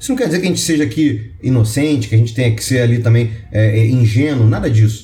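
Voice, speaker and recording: Over noticeable background noise, a man speaks at a very fast pace with hardly any pauses, a medium pitch and ordinary pitch variation. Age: 30s. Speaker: lawyer and venture capital investor. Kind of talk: online course lecture.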